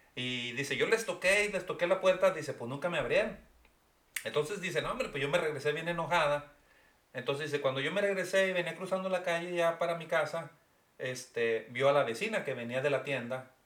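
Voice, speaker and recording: Amid noticeable background noise, a man talks at a fairly quick pace in a high pitch with ordinary pitch variation. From Mexico. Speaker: podcast co-host. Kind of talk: casual chat.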